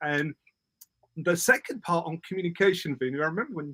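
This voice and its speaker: Someone with a British accent speaks in a bright, sharp tone with ordinary pitch variation, the sound dry and close with no echo. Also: man. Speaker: public speaking coach. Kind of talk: interview. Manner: fast; loud.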